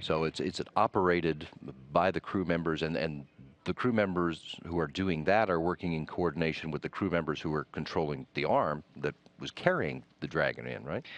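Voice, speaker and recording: Vocal fry in a man's very deep, low voice, moderately paced, with ordinary pitch variation. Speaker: NASA public affairs commentator. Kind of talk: TV interview host.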